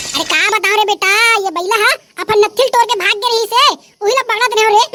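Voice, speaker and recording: In a cartoonish character voice, a woman speaks very fast at an extremely high pitch with very even loudness. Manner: singsong.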